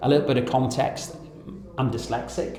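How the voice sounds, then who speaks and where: A man's medium-pitched voice at a fairly quick pace, with fairly even intonation, audible room echo and noticeable background noise. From northern England (Wigan, near Liverpool). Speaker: charity founder, ex-Navy. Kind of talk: interview.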